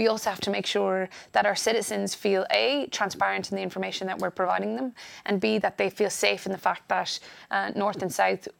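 This speaker has an Irish accent. The pace is fairly quick. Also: woman. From Ireland. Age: 30s. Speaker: politician. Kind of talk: interview. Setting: studio.

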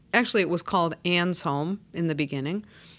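A woman with an American accent has a normal speaking voice at a fairly low pitch. Her pitch variation is ordinary, in a very clean recording with a silent background. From Chicago, US Midwest. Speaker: social work executive director. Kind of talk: interview.

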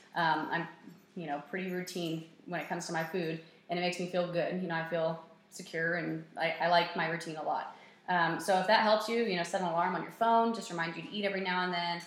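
Amid noticeable background noise and audible room echo, a woman with a fairly low voice speaks very fast in fairly even tones. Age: 20s. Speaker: personal trainer. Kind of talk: casual chat. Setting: office.

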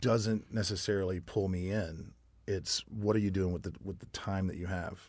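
On a very clean recording with a silent background, a man with an American accent talks at a fairly quick pace in a very deep, low pitch with fairly even intonation. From US South, military family moving around. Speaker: singer and bartender. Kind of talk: casual chat. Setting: studio.

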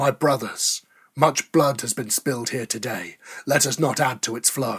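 A booming, put-on character voice from a man at medium pitch, moderate pace and fairly even intonation, on a very clean recording with a silent background. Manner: commanding, rallying.

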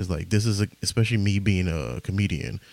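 A quiet voice with an American accent has a dark, mellow tone and lively intonation. The recording is very clean, with a silent background. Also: man. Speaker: podcaster and stand-up comedian. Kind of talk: casual rambling podcast monologue with comedy bits. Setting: home, recording late at night. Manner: rambling, halting, self-deprecating, profane; quiet, hushed delivery.

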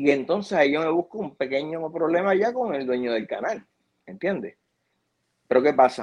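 A man speaks with lively intonation. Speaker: TV video producer. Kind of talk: interview.

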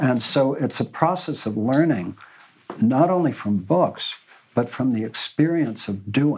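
This man has an ordinary speaking voice, with lively intonation and a fairly slow pace. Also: medium pitch for a man. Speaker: panelist. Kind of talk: panel discussion.

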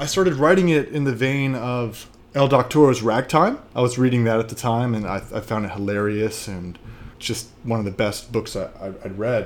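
A man with an American accent, medium pitch, a plain, everyday voice and ordinary pitch variation. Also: moderate pace. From Washington, D.C. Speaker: author and actor. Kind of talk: interview.

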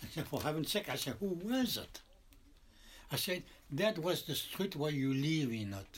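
With a French accent, a man at a fairly high pitch makes very wide pitch swings and takes long, frequent pauses. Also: moderate pace. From France. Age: 80s+. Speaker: shoe repairman. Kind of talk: casual interview conversation. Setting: in his shoe repair shop. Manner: halting; animated.

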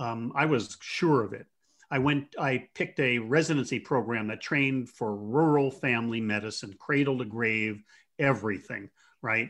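Against a quiet background, a man with an American accent uses a normal speaking voice at a medium pitch, moderate pace and ordinary pitch variation. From US Northeast, Jersey Shore, New Jersey. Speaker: palliative care physician. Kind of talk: interview.

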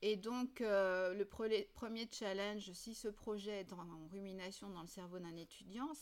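Speaking in an unremarkable speaking voice, a woman keeps a medium pitch, moderate pace and ordinary pitch variation. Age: 50s. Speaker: university program director. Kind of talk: interview conversation.

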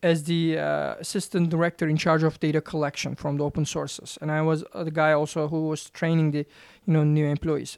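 With a Turkish accent, the speaker goes at a fairly quick pace. The recording is very clean, with a silent background. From Turkey. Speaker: professor. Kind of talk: interview. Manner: halting, many fillers.

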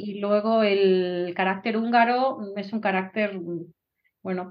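At a fairly slow pace, a woman speaks with fairly even intonation and a medium pitch. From Spain (Galicia, Vigo). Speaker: Spanish professor. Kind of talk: casual interview. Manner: halting.

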